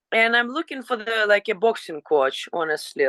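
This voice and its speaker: A woman speaks with a Ukrainian accent at a moderate pace, her intonation lively and her tone bright and sharp. The sound is dry and close with no echo, over a quiet background. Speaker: professional fighter. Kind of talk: interview. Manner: halting.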